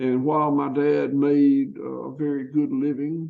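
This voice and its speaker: The speaker is a man with a Southern US accent. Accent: Southern US (Georgia). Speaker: farmer. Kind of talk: interview. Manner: halting.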